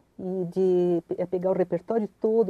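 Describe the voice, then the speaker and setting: A woman's medium-pitched, dark, mellow voice with fairly even intonation and a dry, close sound with no echo. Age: 70s. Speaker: concert pianist. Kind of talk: interview. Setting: studio. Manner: hesitant, with many fillers.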